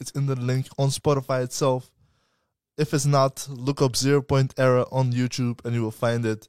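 A man's monotone, flat voice, dry and close with no echo, in a very clean recording with a silent background. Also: medium pitch for a man. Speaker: podcast co-host. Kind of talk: casual chat. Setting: live stream. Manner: fast talker; sometimes hard to understand.

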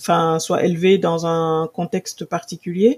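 A woman speaks at a very slow pace, her pitch medium. The recording is very clean, with a silent background. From Senegal. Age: 40s. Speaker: purchasing director and Instagram influencer. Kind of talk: interview conversation.

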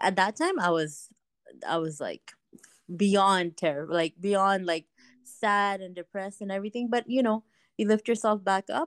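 An unremarkable speaking voice from a woman against a quiet background. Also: dry, close sound with no echo. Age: 30s. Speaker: woman going through fertility treatment. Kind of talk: coaching call, personal story.

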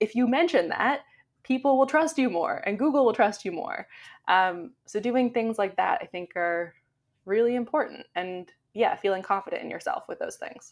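A woman with a Canadian accent talks at a moderate pace in a fairly high pitch, her voice swinging very widely up and down. The recording is very clean, with a silent background. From Canada. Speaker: SEO blogger. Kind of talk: interview.

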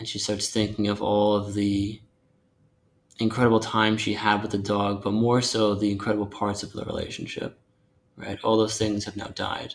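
Monotone, flat intonation at a moderate pace, with an American accent. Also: man, fairly low pitch for a man. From US Northeast, Long Island, New York. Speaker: novelist and screenwriter. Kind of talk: casual chat.

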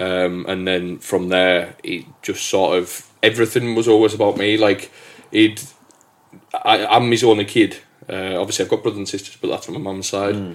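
A man speaks in a normal speaking voice, fairly low in pitch. His intonation is fairly even and his pace moderate. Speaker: podcast host. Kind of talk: casual chat.

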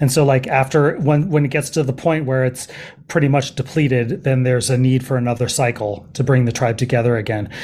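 A man with a Californian accent speaks at a fairly quick pace and a medium pitch, with very even loudness and fairly even intonation. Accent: Californian American. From US West Coast, San Francisco Bay Area. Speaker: journalist and documentary filmmaker. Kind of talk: podcast interview. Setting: remote call.

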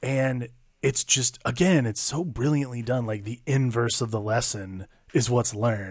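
A man speaks at a medium pitch. His voice is somewhat breathy against a quiet background. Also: ordinary pitch variation, fairly slow pace. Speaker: podcast host. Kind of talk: casual chat.

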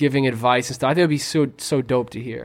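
A man with a plain, everyday voice and an American accent talks at a moderate pace and medium pitch. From Quincy, Massachusetts. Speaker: podcast co-host. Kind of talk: casual chat.

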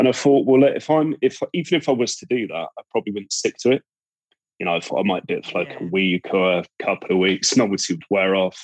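A fairly quick delivery in a Cornish accent, dry and close with no echo. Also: man. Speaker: podcast guest, recovering gambling addict.

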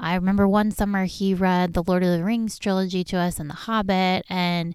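In a very clean recording with a silent background, a woman with a plain, everyday voice speaks at a moderate pace and medium pitch. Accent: American. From Southern California. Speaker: podcast host. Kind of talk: personal storytelling monologue.

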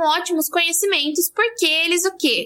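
Against noticeable background noise, a woman raises and projects her voice at an extremely high pitch. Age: 20s. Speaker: physicist and science communicator. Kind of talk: casual chat.

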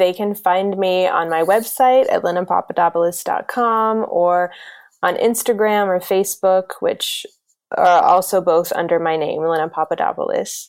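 The speaker has a normal speaking voice and an American accent. Intonation is fairly even, and the pace is moderate. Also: woman, medium pitch for a woman. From US South, South Carolina. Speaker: intercultural educator and consultant. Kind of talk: interview.

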